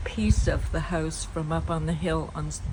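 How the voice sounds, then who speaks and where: A woman speaks in a Nova Scotian accent. Noticeable background noise and audible room echo surround her voice. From Shelburne, Nova Scotia, Canada. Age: 70s. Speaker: local resident. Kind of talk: oral history reminiscence.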